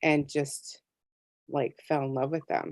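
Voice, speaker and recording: Against a quiet background, a woman speaks in a very deep, low pitch. Her delivery is monotone and flat, with a dry, close sound with no echo. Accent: American. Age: 60s. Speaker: tarot deck artist. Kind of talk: interview. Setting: video call.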